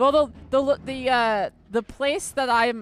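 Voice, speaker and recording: In a Philadelphia accent, a woman talks in an animated tone. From US Northeast, Philadelphia. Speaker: gaming streamer. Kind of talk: casual chat. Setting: live stream.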